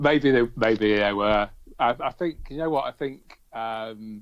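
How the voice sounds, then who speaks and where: This is a man speaking. He talks with a British accent. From England. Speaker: aquascaper and YouTuber. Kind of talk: interview.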